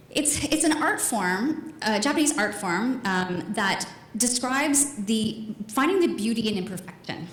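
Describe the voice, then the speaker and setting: Very wide pitch swings and an animated tone mark this woman's fairly high voice. Noticeable background noise and audible room echo surround her. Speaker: marketing speaker. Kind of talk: conference talk. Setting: stage with audience. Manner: fast.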